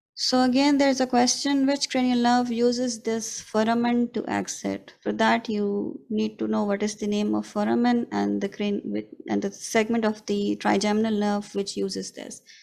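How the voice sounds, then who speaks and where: Hardly pausing at all, a woman talks at a moderate pace. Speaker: radiologist lecturer. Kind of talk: lecture.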